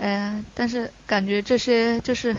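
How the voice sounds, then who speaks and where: A woman's fairly high voice at a fairly slow pace, with fairly even intonation. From Chongqing, China. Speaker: fan club deputy leader. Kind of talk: casual interview. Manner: halting, many fillers.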